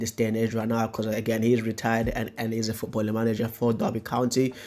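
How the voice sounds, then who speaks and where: A man speaks at a medium pitch and a very fast pace. Noticeable background noise runs under his voice. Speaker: football YouTuber. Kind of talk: casual video commentary. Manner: halting, many fillers and repetitions.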